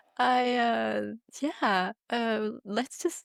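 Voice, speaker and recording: Recorded with a dry, close sound and no echo, a woman speaks in a fairly high voice with a Norwegian accent. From Norway. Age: 30s. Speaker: podcast co-host. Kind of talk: casual chat.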